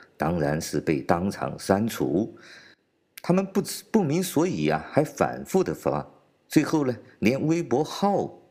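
A man's dark, mellow voice with vocal fry and very wide pitch swings, on a very clean recording with a silent background. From China. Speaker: political commentator podcaster. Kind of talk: commentary monologue.

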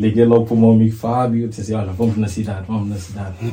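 A man speaks in a fairly low, dark and mellow voice that is somewhat breathy and monotone, with flat intonation and audible room echo. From Portugal, Lisbon south bank. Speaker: fashion coach and model. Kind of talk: casual chat.

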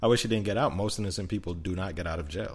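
Somewhat breathy and very deep, low in pitch, a man talks at a very fast pace amid audible room echo. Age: 20s. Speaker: podcast co-host. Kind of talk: casual chat.

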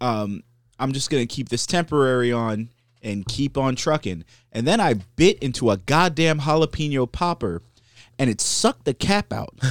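Recorded dry and close with no echo and a silent background, a man speaks at a moderate pace and medium pitch with very wide pitch swings. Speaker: podcast co-host. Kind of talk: casual chat.

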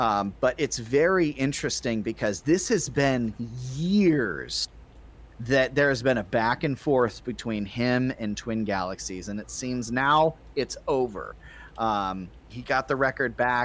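A man talks at a fairly slow pace with lively intonation and a medium pitch. It is a plain, everyday voice on a very clean recording with a silent background. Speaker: podcast co-host. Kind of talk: casual banter podcast.

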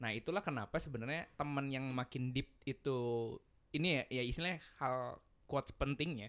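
The speaker is a man with a plain, everyday voice at a medium pitch. He talks at a fairly quick pace with ordinary pitch variation. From West Java, Bandung (Sundanese). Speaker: university student. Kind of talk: casual chat.

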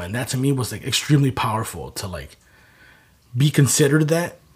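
Somewhat breathy delivery at a fairly quick pace, with ordinary pitch variation, in a very clean recording against a silent background. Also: man. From southeast side of Chicago. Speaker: clothing brand founder. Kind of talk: casual interview conversation.

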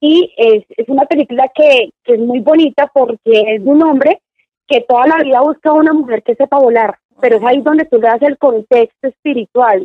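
Her high-pitched voice moves at a moderate pace, and this woman uses ordinary pitch variation. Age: 30s. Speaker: psychologist. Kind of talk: casual interview.

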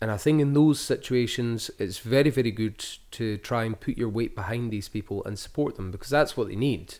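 With an Edinburgh accent, a man talks at a fairly quick pace with hardly any pauses, in a very clean recording with a silent background. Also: medium pitch for a man, ordinary pitch variation. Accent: Scottish (Edinburgh). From Scotland, Edinburgh. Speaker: author and aid volunteer. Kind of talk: casual interview.

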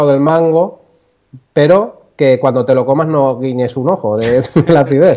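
A man speaks with a dark, mellow tone. His pitch is fairly high. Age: 30s. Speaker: pastry chef. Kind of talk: phone interview. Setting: phone call.

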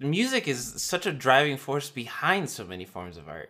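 Recorded very cleanly with a silent background, a man speaks in a bright, sharp tone with vocal fry. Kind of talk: casual conversation.

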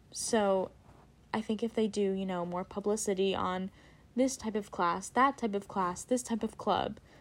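A woman with an American accent has an unremarkable speaking voice at medium pitch and a moderate pace. Her intonation is fairly even on a very clean recording with a silent background. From Princeton, New Jersey. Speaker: college student podcast co-host. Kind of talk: casual chat.

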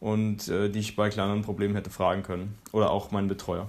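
A man with a fairly low pitch delivers his words at a moderate pace. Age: 20s. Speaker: university student. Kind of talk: personal account.

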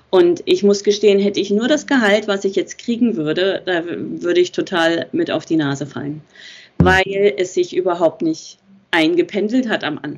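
Lively in intonation, a woman speaks at a medium pitch in an unremarkable speaking voice. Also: moderate pace. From Germany, Berlin. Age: 40s. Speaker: nurse. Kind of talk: interview.

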